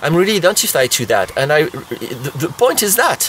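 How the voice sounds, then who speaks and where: Speaking in a French accent, a man talks at a moderate pace with a high pitch. His pitch swings very widely, and background noise is noticeable. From France. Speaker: therapist. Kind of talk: tutorial. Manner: halting.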